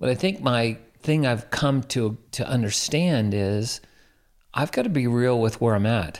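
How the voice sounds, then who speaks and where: A plain, everyday voice moves at a fairly slow pace with ordinary pitch variation and very even loudness. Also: man, medium pitch for a man. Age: 60s. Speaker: pastor and guest. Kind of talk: casual interview chat, faith testimony.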